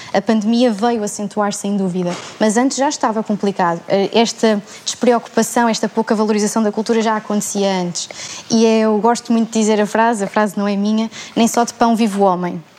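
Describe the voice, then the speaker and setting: Against noticeable background noise, a woman with a fairly high pitch talks at a fairly quick pace in monotone, flat intonation. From Portugal, Setúbal. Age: 20s. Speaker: theatre student. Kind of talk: panel discussion.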